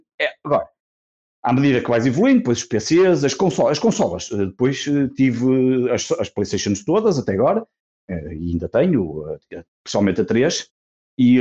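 Medium-pitched male voice with a dark, mellow tone, delivered at a moderate pace. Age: 40s. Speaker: podcaster. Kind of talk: casual chat.

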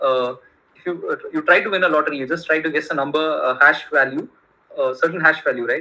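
Rapid and very fast, a man with a Kannada accent talks in a fairly high pitch with fairly even intonation. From India. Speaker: tech entrepreneur. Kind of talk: casual interview. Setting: remote call. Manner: halting, many fillers.

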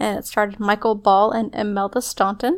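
A plain, everyday voice is heard. It keeps a moderate speed. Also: woman. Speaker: podcast co-host. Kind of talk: casual chat.

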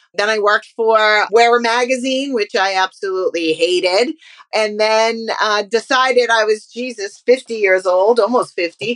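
A woman with a fairly high pitch and fairly even intonation has an unremarkable speaking voice. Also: moderate pace. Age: 50s. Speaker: entrepreneur and former magazine publisher. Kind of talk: interview.

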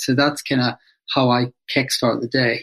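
In a Northern Irish accent, a man speaks with monotone, flat intonation. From Northern Ireland, Belfast. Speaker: psychotherapist and author. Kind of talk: interview.

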